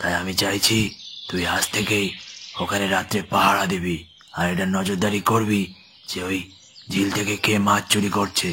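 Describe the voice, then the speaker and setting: In a cartoonish character voice, a man talks at a moderate pace with fairly low pitch and a monotone, flat intonation. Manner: authoritative, suspicious.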